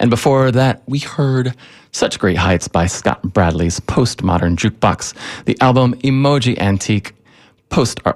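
A man at a moderate pace, relaxed and upbeat in tone, with lively intonation. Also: very clean recording, silent background. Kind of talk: radio DJ patter between songs: warm, back-announcing tracks and teasing the next set.

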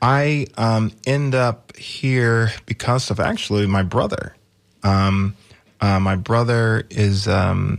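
Fairly even in intonation, a man speaks with an American accent. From US South, Georgia (small town Manchester). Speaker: nonprofit arts education leader and singer. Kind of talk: radio interview. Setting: radio studio. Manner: hesitant, many fillers.

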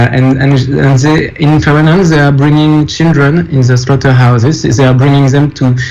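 A man with a French accent, noticeable background noise and audible room echo. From France. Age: 40s. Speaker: documentary filmmaker. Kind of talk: interview. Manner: halting.

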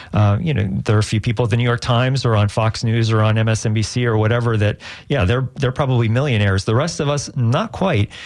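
With a normal speaking voice, a man talks at a fairly quick pace and a medium pitch, with ordinary pitch variation, very even loudness and hardly any pauses. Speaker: radio news director. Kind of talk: interview.

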